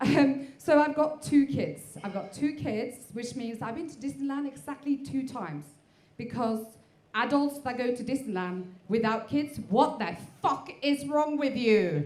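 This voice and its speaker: Delivered at a fairly slow pace, the speech has lively intonation and big swings in loudness, with audible room echo and noticeable background noise. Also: woman, high pitch for a woman. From Norway. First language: Norwegian. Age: 40s. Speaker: stand-up comedian. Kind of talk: stand-up. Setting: stage with audience. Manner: hesitant, many fillers.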